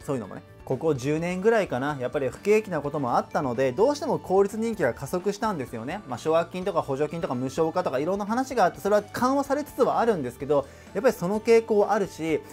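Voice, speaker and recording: Very wide pitch swings and big swings in loudness mark a man's high-pitched voice. He races at a very fast pace with hardly any pauses while faint music plays in the background. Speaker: online tutor / educational YouTuber. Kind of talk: educational lecture to camera. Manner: conversational, explanatory. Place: home room.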